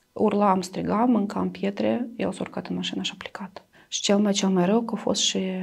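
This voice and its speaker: The background is quiet as a woman speaks at a moderate pace. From Transnistria, Moldova; Moldova. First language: Russian (speaking Romanian). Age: 30s. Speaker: domestic violence survivor; interviewee. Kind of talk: interview testimony. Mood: somber, recounting past violence. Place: studio. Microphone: lapel.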